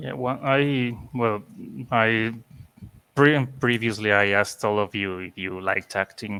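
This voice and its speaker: A man's medium-pitched voice with a non-native accent, fairly slow, with ordinary pitch variation. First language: not English. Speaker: interview show host. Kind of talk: casual chat.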